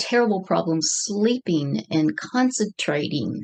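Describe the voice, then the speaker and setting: A woman's plain, everyday voice, medium in pitch, at a moderate pace. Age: 60s. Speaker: ordained minister, guest sharing trauma story. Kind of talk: interview testimony.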